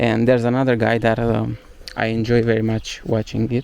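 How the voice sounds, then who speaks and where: Amid noticeable background noise, a man with a Romanian accent talks at medium pitch and a moderate pace. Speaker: travel vlogger. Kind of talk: casual walking vlog monologue. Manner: halting, many fillers.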